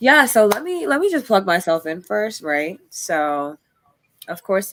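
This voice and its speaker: A woman speaks at a medium pitch and a fairly slow pace. Her pitch swings very widely. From Jamaica. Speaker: poet and activist. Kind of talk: casual podcast interview.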